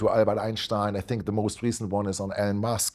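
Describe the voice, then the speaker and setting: A man with a German accent speaks at a fairly quick pace in a dark, mellow tone, in a very clean recording with a silent background. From Germany. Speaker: investment platform founder and interviewer. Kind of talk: interview. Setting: office in New York.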